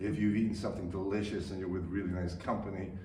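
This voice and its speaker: Through audible room echo and noticeable background noise, a man speaks at a very deep, low pitch with fairly even intonation. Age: 70s. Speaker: stage actor. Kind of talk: radio interview. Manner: halting, many repetitions and fillers.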